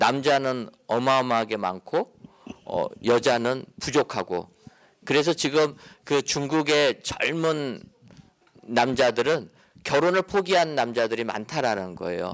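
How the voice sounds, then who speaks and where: This man talks at a very slow pace with lively intonation. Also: medium pitch for a man. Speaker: pastor and lecturer. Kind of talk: lecture. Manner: calm, gentle.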